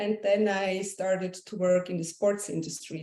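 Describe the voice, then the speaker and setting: At a medium pitch, a woman speaks with a Swiss accent. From Switzerland. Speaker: essential oils business leader, yoga teacher. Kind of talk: interview.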